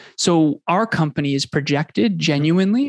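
A man talks in a normal speaking voice, keeping a moderate pace. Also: dry, close sound with no echo. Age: 30s. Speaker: business coach and podcast host. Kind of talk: interview conversation.

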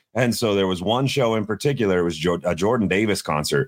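Speaking at a fairly quick pace, a man has a plain, everyday voice with a fairly low pitch. His pitch variation is ordinary. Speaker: radio host and podcast co-host. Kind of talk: casual chat.

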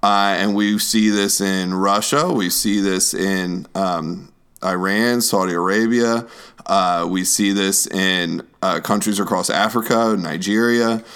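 Over a very clean recording with a silent background, a man with an American accent speaks at a fairly slow pace. He has an ordinary speaking voice, a fairly low pitch and fairly even intonation. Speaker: podcast host and youth minister. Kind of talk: casual political chat podcast.

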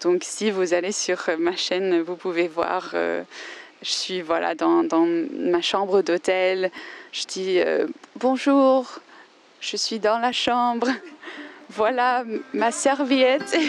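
Lively intonation marks this very slow delivery in an English accent, broken by long, frequent pauses, with noticeable background noise. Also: woman, medium pitch for a woman. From Australia. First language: English (speaking French). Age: 20s. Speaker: composer and language learner. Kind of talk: interview. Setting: outdoors in a park. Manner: halting.

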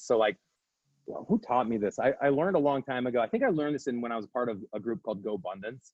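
With an American accent, a man with a medium pitch talks at a very fast pace and ordinary pitch variation. Music plays in the background. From Omaha, Nebraska, US Midwest. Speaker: real estate agent and team leader. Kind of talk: interview conversation. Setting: video call.

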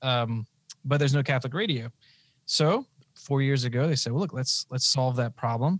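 Somewhat breathy, a man speaks with ordinary pitch variation and very even loudness, leaving long, frequent pauses, in a very clean recording with a silent background and a dry, close sound with no echo. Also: medium pitch for a man, moderate pace. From Louisiana (Lafayette). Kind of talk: interview.

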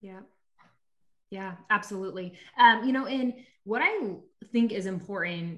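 A woman with an American accent speaks in an unremarkable speaking voice at medium pitch, with lively intonation and a moderate pace. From Nebraska. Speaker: faith-based sales coach. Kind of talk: casual interview chat.

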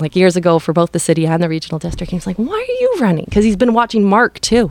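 Very fast pace from a woman with a Canadian accent, plus noticeable background noise. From Powell River, British Columbia, Canada. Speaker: city council candidate. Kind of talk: interview.

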